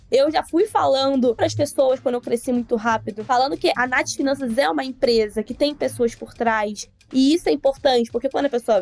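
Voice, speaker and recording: This is a woman speaking. Her pitch is high. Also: dry, close sound with no echo. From Baixada Fluminense, Rio de Janeiro, Brazil. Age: 20s. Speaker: finance educator. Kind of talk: casual interview.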